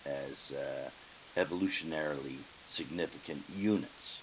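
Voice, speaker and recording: Fairly slow speech from a man, audible room echo around it. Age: 70s. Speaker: aquatic ecologist. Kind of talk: lecture. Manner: halting, frequent fillers.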